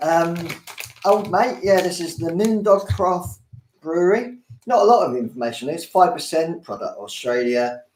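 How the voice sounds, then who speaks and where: A man with a Cockney accent, fairly slow pace and very wide pitch swings. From London. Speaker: beer review host.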